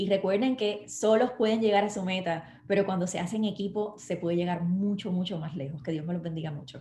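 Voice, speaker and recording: In a normal speaking voice, this speaker moves at a fairly quick pace with hardly any pauses and ordinary pitch variation. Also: woman, medium pitch for a woman. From Puerto Rico. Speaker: network marketing distributor and actress. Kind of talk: live online interview.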